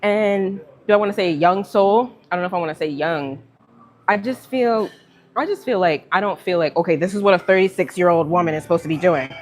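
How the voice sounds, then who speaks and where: Speaking fairly quickly with lively intonation, a woman with an American accent holds a medium pitch. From Virginia, US. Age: 30s. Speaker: livestreamer. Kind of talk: casual chat. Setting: live stream. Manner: chatty, filler-heavy.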